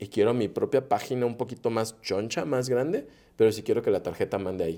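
A man's dark, mellow tone at a very fast pace, on a very clean recording with a silent background. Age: 30s. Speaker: web developer. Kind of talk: casual interview.

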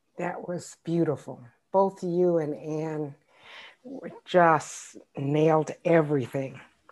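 A very slow pace with big swings in loudness. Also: woman, very deep, low pitch for a woman, ordinary pitch variation. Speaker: spiritual community member. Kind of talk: group discussion sharing.

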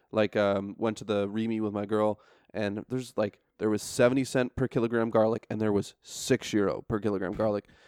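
With a New York State accent, a man talks at a fairly quick pace, fairly low in pitch with monotone, flat intonation. The sound is dry and close with no echo, on a very clean recording with a silent background. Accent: American, New York State. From upstate New York. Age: 20s. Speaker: comedian. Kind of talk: casual chat.

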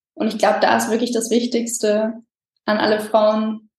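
A woman talks at a moderate pace with a fairly high pitch. Her tone is dark and mellow, and somewhat breathy. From Germany, near Frankfurt. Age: 20s. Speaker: airline co-pilot. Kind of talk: interview.

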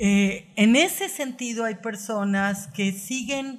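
The woman's speech is very slow. She keeps her intonation fairly even. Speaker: psychotherapist. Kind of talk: interview.

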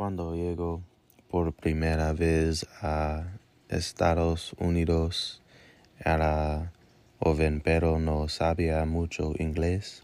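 At a very slow pace, a man speaks with a very deep, low pitch, a dark, mellow tone and monotone, flat intonation, on a very clean recording with a silent background. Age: 20s. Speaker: university student. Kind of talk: scripted narration.

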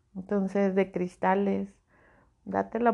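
Medium pitch in a woman's voice, dark and mellow in tone. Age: 40s. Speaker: spiritual podcast host, angel therapist. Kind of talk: solo spiritual talk.

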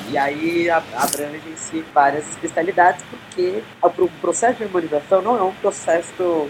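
The speech moves at a fairly slow pace with hardly any pauses over noticeable background noise. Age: 20s. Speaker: psychologist. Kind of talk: casual chat. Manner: halting.

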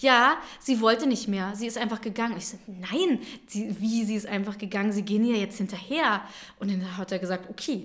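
The pitch varies in an ordinary way. It is an unremarkable speaking voice. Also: woman, fairly high pitch for a woman, moderate pace. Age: 20s. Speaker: daycare centre manager. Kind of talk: casual chat.

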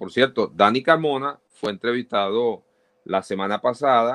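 The voice is a man's, pitched in the medium range. He talks at a fairly slow pace. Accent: Maracaibo. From Maracaibo, Venezuela (Zulia). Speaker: radio presenter. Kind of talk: casual interview.

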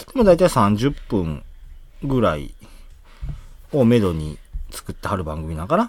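A man at a fairly slow pace with long, frequent pauses, very wide pitch swings and big swings in loudness. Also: fairly low pitch for a man. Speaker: podcast host. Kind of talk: casual chat.

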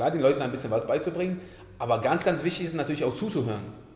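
A man's voice carries ordinary pitch variation amid audible room echo and noticeable background noise. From Berlin, Germany. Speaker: personal trainer and gym owner. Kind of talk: casual chat.

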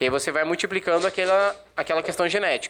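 Music behind a man's moderately paced speech. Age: 20s. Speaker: guide dog user, journalism student. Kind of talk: podcast interview.

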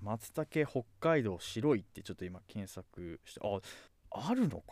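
With very wide pitch swings, a man speaks at a fairly slow pace on a very clean, dry, close recording with no echo and a silent background. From Hokkaido, Obihiro (Tokachi). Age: 30s. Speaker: radio announcer and host. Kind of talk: casual chat.

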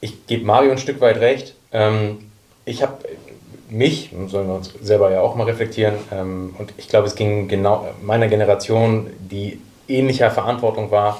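A man speaks at a fairly low pitch with fairly even intonation, big swings in loudness and long, frequent pauses. Noticeable background noise is present. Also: moderate pace. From Hamburg. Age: 30s. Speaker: youth academy sporting director. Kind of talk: panel discussion.

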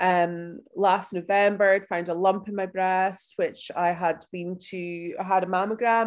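A woman speaking at a fairly slow pace. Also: quiet background. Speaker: wellness podcast host and anxiety coach. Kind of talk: personal monologue. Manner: hesitant, many fillers.

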